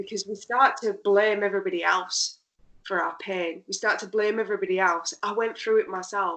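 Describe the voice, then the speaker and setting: Bright, sharp tone from a woman with a British accent, medium pitch, fairly even intonation and a moderate pace. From UK. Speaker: pain therapist. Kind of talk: interview. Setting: podcast.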